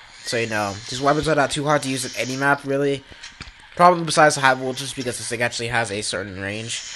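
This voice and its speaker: A man's pitch moves in an ordinary way while noticeable background noise carries on around him. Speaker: gaming YouTuber. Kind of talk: gameplay commentary. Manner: casual, many fillers.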